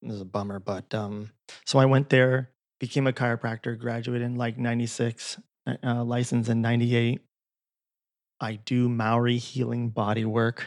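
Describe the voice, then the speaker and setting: A man's medium-pitched voice in an American accent, at a moderate pace with monotone, flat intonation, on a very clean recording with a silent background and a dry, close sound with no echo. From US West Coast. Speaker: chiropractor and bodywork healer. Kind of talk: casual interview conversation. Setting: his home practice.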